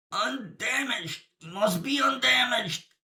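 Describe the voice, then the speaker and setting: A man performs a put-on character voice, raspy, raised and projected, at an extremely high pitch. He keeps a moderate pace with lively intonation. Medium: read story. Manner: cold, commanding.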